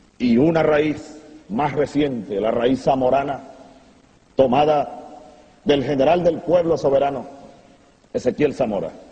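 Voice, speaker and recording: A man speaks in a Venezuelan accent at a fairly high pitch for a man, with ordinary pitch variation. His pace is fairly slow, broken by long, frequent pauses. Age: young. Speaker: military officer, revolutionary leader. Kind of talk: political speech.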